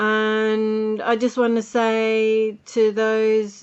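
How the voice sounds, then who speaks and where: A woman speaks with an Australian accent at a fairly high pitch. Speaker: podcaster and music producer. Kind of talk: casual podcast diary talk. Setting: home recording with buzzing noise.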